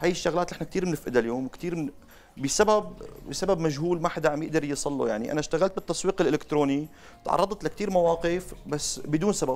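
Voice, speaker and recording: A man's high voice comes at a fairly quick pace, its pitch varying in an ordinary way. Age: 20s. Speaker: salesman, marketing expert; salesman. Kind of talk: interview. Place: studio. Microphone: lapel.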